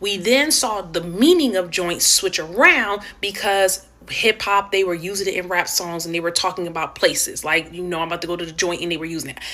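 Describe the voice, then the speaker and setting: An animated woman at medium pitch, fairly quick, with lively intonation and noticeable background noise. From Philadelphia, US. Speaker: social media commentator. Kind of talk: casual rant to camera.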